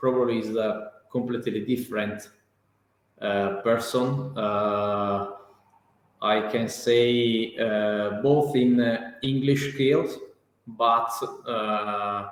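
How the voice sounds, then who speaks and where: Someone with an Italian accent speaks at a very slow pace with long, frequent pauses. The intonation is flat and monotone, and the room echo is audible. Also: man, medium pitch for a man. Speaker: real estate professional, English learner. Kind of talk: interview. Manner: halting, many fillers and repetitions.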